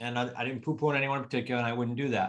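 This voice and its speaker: A man with a New England accent speaks at a medium pitch. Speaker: real estate coach. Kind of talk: podcast interview.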